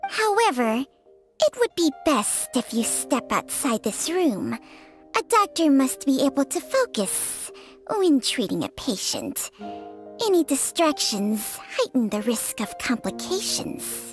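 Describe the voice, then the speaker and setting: A woman's put-on character voice, high in pitch and fairly slow, with faint music in the background. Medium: game stream. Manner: dry, sardonic.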